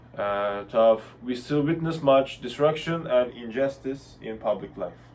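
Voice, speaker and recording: A man in a Turkish accent, medium in pitch, at a fairly slow pace with ordinary pitch variation. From Turkey. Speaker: university student. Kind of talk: class presentation discussion. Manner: hesitant.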